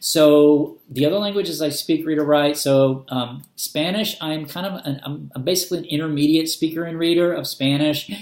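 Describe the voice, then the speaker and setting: Intonation stays fairly even in this moderate-paced speech with hardly any pauses. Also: man, fairly high pitch for a man. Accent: American. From US South, Arkansas. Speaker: booktuber. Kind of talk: casual vlog talk. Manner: hesitant, many fillers.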